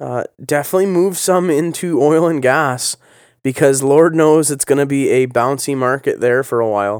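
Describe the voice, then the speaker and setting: With a Canadian accent, a man uses a normal speaking voice at a moderate pace and ordinary pitch variation, recorded very cleanly against a silent background. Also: fairly high pitch for a man. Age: 30s. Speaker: political podcast host. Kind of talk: casual political commentary monologue. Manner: conversational, many filler words.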